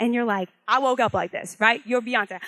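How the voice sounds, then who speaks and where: A loud voice with an animated tone. The sound is dry and close, with no echo. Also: woman. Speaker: branding strategist and motivational speaker. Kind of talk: motivational talk to live audience.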